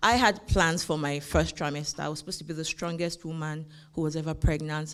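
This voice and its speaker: This woman's voice sits at a very deep, low pitch. The recording is very clean, with a silent background. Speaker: immigrant lawyer, conference speaker. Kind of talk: conference talk. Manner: hesitant, many fillers.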